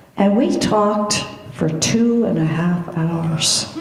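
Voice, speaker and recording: The speech comes at a very slow pace. There is noticeable background noise. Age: 80s+. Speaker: congregation member. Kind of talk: sharing joys and concerns in a church service.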